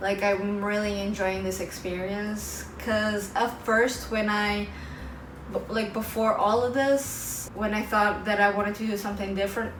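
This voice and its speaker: A woman with a Portuguese accent speaks at a medium pitch and a fairly slow pace in a monotone, flat intonation. There is noticeable background noise and audible room echo. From Portugal. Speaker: vlogger and English teacher. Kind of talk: casual vlog talk to camera.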